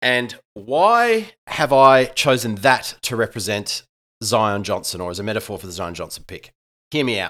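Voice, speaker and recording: A man with an Australian accent and a bright, sharp tone speaks at a medium pitch and moderate pace, with ordinary pitch variation and big swings in loudness, on a very clean recording over a silent background. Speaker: sports podcast co-host, English teacher. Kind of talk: casual sports analysis chat.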